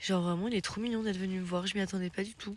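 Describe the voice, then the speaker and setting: A woman speaks at a very fast pace in a medium pitch, her intonation fairly even. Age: 20s. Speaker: hiking vlogger. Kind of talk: casual talk to camera. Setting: outdoors. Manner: casual, chatty.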